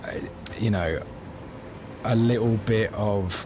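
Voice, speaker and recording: Noticeable background noise is present. Over it, a man talks with fairly even intonation. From England, Cambridge. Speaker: video game streamer. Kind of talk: casual gameplay livestream chat. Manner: casual, hesitant with fillers.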